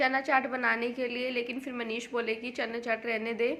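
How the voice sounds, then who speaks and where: This is a woman speaking. Her pitch is high. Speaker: home vlogger. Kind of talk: casual vlog talk. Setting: home kitchen.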